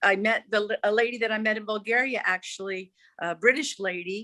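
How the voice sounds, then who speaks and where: A woman's bright, sharp tone comes through dry and close, with no echo. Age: 60s. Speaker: digital nomad and English tutor. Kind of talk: casual interview chat.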